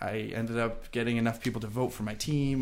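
A man talks in a plain, everyday voice at medium pitch. His intonation stays fairly even. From Long Island, New York. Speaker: travel content creator and digital marketer. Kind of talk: casual interview.

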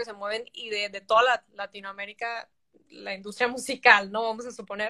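A woman speaks at a moderate pace, her fairly high voice bright and sharp in tone. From Mexico (Tijuana, border region). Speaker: singer-songwriter. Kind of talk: interview.

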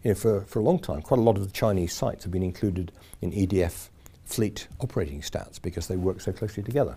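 On a very clean recording with a silent background, a man with a fairly low, somewhat breathy voice and a dark, mellow tone speaks at a very fast pace with ordinary pitch variation. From Yorkshire, Sheffield area. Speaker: nuclear industry association chairman. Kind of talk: casual interview.

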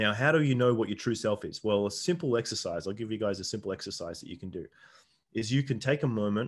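A man with a fairly low pitch, speaking at a fairly quick pace against a quiet background. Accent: Australian. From Australia. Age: 40s. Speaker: shaman and men's coach. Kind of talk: casual interview chat; guided meditation inviting listeners to close eyes and recall a memory. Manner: hesitant, filler-heavy, repeats words.

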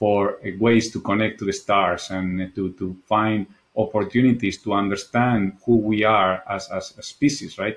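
With a Spanish accent, a man talks at a moderate pace in a fairly low pitch. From Spain. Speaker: architect. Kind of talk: interview conversation.

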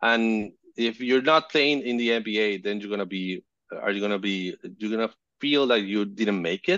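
Speaking with a Spanish accent, a man uses a fairly low pitch, ordinary pitch variation and a moderate pace. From Venezuela, Caracas. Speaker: photojournalist and fixer. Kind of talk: casual interview. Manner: halting.

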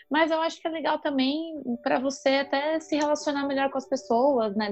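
A woman speaks in a high voice. Music plays in the background. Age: 30s. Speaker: marketing professional. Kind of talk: casual interview.

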